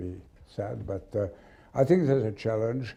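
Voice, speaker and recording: His tone is dark and mellow. A man's voice, somewhat breathy. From Switzerland. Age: 70s. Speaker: sports lawyer. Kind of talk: interview. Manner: halting.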